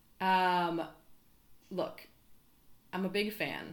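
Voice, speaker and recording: Very slow speech with audible room echo. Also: woman. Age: 30s. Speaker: podcast guest. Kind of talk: casual chat.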